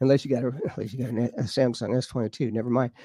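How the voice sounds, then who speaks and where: A man speaks with a slight Georgia accent, the sound dry and close with no echo. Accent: slight adopted Georgia. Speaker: UFO and paranormal researcher. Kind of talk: interview show, casual chat. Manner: halting, many fillers.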